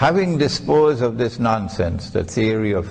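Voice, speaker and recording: A man at medium pitch speaks fairly slowly with lively intonation and a somewhat breathy sound, with audible room echo. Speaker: Islamic scholar and preacher. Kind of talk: religious lecture.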